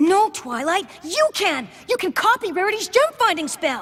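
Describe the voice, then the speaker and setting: This is a cartoonish character voice at an extremely high pitch. It moves at a moderate pace with very wide pitch swings. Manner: theatrical chivalry.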